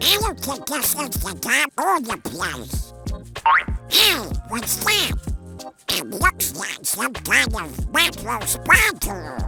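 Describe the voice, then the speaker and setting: Sound effects and clear music play in the background as a cartoonish character voice speaks at a very slow pace. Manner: fretful.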